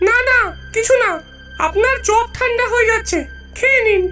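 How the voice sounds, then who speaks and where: A female-sounding, cartoonish character voice, squeaky and extremely high in pitch, at a moderate pace over clear music in the background. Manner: sly, mocking.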